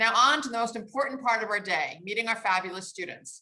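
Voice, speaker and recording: Speaking at a fairly quick pace, a woman with an American accent has a bright, sharp tone, a warm, enthusiastic tone and lively intonation. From United States. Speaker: panel moderator, organization staff. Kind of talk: event speech, moderating.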